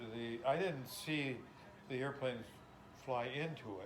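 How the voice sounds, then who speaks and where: The recording has noticeable background noise. Through it comes a man's voice at a medium pitch. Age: 80s. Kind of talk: interview answer.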